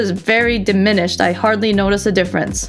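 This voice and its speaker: In a non-native accent, a woman talks at a fairly quick pace. Background noise is noticeable. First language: not English. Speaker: health vlogger. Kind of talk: casual talk to camera.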